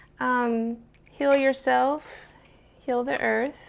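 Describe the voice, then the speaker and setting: A woman's high voice, very slow in pace and lively in intonation. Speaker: tarot YouTuber. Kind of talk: casual show-and-tell video. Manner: quiet, soft-spoken.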